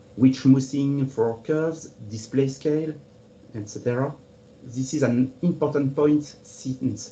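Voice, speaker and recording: A man talks at a fairly slow pace with a French accent. His voice is somewhat breathy. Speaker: cartographer. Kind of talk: webinar presentation. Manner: formal.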